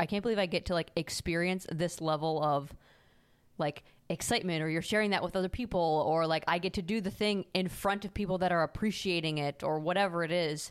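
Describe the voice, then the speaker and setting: On a very clean recording with a silent background, a woman with a plain, everyday voice speaks at a fairly quick pace and fairly low pitch, with fairly even intonation and very even loudness. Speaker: podcast host. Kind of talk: casual chat.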